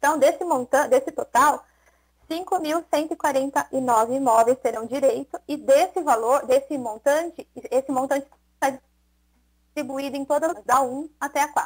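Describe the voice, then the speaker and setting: Moderately paced speech from a woman at a high pitch, with a dry, close sound and no echo. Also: ordinary pitch variation. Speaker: municipal tax department official. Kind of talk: public hearing explanation. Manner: halting, many repetitions.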